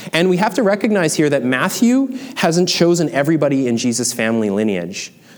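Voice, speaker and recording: A man's fairly high voice with a Canadian accent, very wide pitch swings and a fairly quick pace over noticeable background noise. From Canada, small town. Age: 30s. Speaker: pastor. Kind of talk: sermon.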